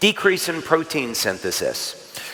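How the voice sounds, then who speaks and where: Lively intonation comes through at a fairly slow pace over noticeable background noise. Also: man. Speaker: product educator. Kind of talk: presentation. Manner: hesitant fillers.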